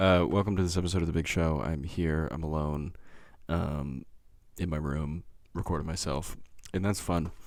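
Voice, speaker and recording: This man speaks at a moderate pace in a very deep, low voice with fairly even intonation, long and frequent pauses, and audible room echo. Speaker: podcast host. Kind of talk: casual monologue. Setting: home recording in bedroom. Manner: halting, many fillers.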